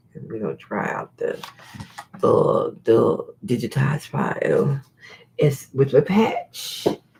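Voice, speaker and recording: A man's animated, fairly slow speech over noticeable background noise. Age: 60s. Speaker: online seller and YouTuber. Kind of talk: live stream. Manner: casual, animated.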